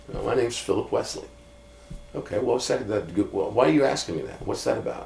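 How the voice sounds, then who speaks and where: Noticeable background noise accompanies a man whose delivery runs at a fairly quick pace. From US Midwest (Iowa). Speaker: pastor. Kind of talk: casual chat.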